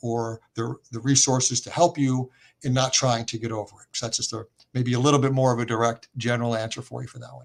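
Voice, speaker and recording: With an unremarkable speaking voice, a man talks at a fairly quick pace and medium pitch, his intonation fairly even. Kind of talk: interview.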